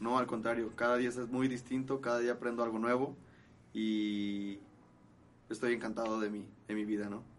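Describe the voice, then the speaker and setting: A man's medium-pitched, monotone delivery at a moderate pace, broken by long, frequent pauses. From Guadalajara, Jalisco, Mexico. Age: 20s. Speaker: charro rider. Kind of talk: casual interview. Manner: halting.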